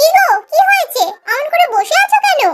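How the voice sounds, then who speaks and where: Squeaky and extremely high, a woman's cartoonish character voice moves at a fairly quick pace with lively intonation. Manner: warm, affectionate.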